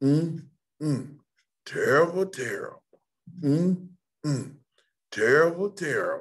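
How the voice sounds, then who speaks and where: Using a put-on character voice, a man speaks high in pitch at a fairly slow pace, leaving long, frequent pauses. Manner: sad, mournful.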